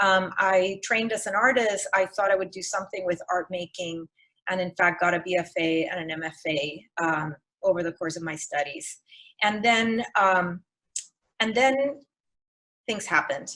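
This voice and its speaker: Speaking at a moderate pace, a woman with a Spanish accent has a bright, sharp tone and a medium pitch. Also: ordinary pitch variation. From Puerto Rico. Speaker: museum educator and artist. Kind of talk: lecture. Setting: video call. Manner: halting.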